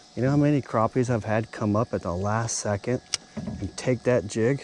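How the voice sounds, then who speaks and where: Noticeable background noise runs under a man whose pitch varies in an ordinary way. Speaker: outdoors vlogger. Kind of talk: casual fishing vlog commentary. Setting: outdoors on a boat dock. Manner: animated.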